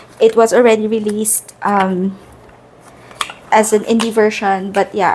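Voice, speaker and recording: Speaking with a Filipino accent and a fairly high pitch, a woman is heard over noticeable background noise. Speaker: tarot content creator. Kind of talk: casual product review. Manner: casual, hesitant with fillers.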